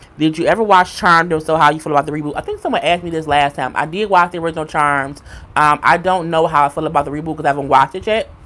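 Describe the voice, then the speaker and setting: At a very fast pace, a woman with a New York accent speaks in a very deep, low voice with fairly even intonation. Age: 30s. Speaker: YouTuber. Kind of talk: live stream chat. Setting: live stream.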